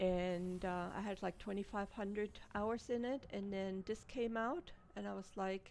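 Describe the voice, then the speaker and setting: In a German accent, a woman talks at a fairly slow pace, her medium-pitched voice holding a fairly even intonation. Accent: German accent, non-native pronunciation. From Germany. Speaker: gaming streamer. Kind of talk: live gameplay commentary. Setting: live stream. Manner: relaxed, casual.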